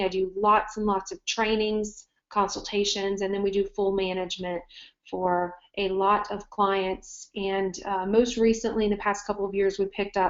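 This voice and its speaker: A woman in a Southern US accent speaks at a moderate pace and medium pitch, her intonation monotone and flat. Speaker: marketing agency owner. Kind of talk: webinar presentation. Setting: online webinar.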